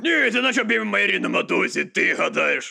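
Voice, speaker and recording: A man puts on a character voice and delivers his lines at a moderate speed. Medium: fan dub. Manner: gruff, blunt.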